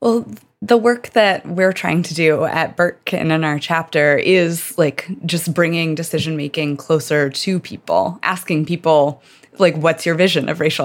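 A woman with an American accent and a plain, everyday voice, fairly low in pitch with ordinary variation, at a moderate pace. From rural Virginia, US South. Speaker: doctoral student and researcher. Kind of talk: casual chat.

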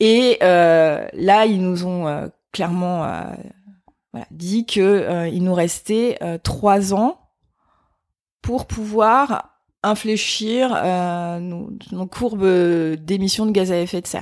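Against a silent background in a very clean recording, a woman with a medium pitch and ordinary pitch variation speaks at a very slow pace with long, frequent pauses. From France, Vosges. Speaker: sustainability trainer. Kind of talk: interview. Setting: in person. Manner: hesitant, many fillers.

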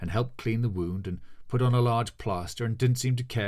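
Reading aloud in a natural voice, the speaker lets the pitch shift in an ordinary way.

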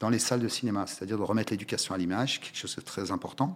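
The speaker is a man with a fairly low pitch and ordinary pitch variation. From France, Paris suburbs (Val-d'Oise), Moroccan family from Oujda. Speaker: cinema logistics business owner. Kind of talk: interview. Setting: studio. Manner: halting, many repetitions and fillers.

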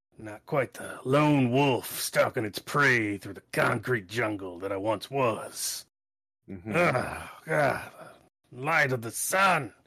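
Putting on a character voice, a man speaks very slowly in a raspy, weary tone, medium in pitch, with lively intonation. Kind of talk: noir detective monologue. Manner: gruff, brooding, world-weary.

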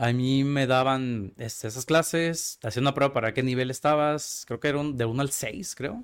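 A man talks in an unremarkable speaking voice at a medium pitch. His intonation is fairly even, with hardly any pauses. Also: moderate pace. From Mexico, Tijuana. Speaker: casting agency founder and film student. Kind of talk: casual interview conversation.

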